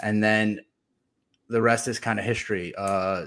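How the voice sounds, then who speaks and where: A man talks in an unremarkable speaking voice, medium in pitch with ordinary variation, captured in a very clean recording against a silent background. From Ukraine, immigrated to US as a child. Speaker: podcast host and sports card collector. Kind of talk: casual interview.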